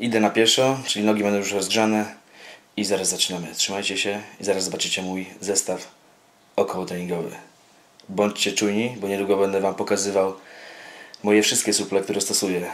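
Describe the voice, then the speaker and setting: A man with a fairly low pitch for a man speaks at a very fast pace in monotone, flat intonation. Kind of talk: casual vlog chat. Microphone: phone near.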